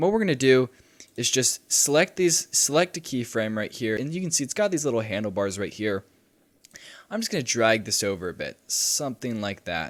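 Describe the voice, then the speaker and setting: On a very clean recording with a silent background, a man talks at a fairly quick pace with very wide pitch swings. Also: medium pitch for a man. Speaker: video editing tutorial youtuber. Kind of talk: tutorial.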